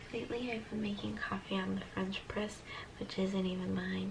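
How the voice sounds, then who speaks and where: Whispering, a woman is heard with audible room echo and noticeable background noise. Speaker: middle school science teacher and vlogger. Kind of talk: casual vlog talk. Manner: soft-spoken.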